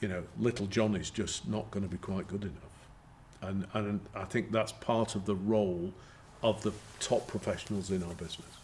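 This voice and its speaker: Somewhat breathy and fairly low-pitched, a man talks at a moderate pace with fairly even intonation. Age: 60s. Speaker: company chairman. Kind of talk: interview. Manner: halting.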